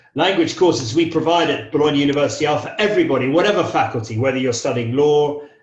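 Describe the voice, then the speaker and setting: This man's voice has a fairly high pitch. The room adds an audible echo. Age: 60s. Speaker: English teacher. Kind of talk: interview. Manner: hesitant, with frequent fillers.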